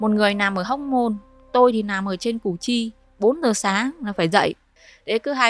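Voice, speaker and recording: A woman uses a plain, everyday voice at a fairly high pitch, speaking at a moderate pace with ordinary pitch variation. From Vietnam, Hai Phong (northern). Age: 30s. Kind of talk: personal testimony.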